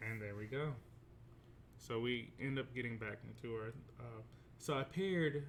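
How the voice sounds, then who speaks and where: A man speaks in a somewhat breathy voice at a medium pitch. His pitch variation is ordinary. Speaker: teacher. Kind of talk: tutorial.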